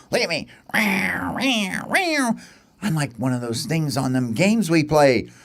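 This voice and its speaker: A man puts on a character voice at a medium pitch. He talks at a fairly slow pace with long, frequent pauses. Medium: read story.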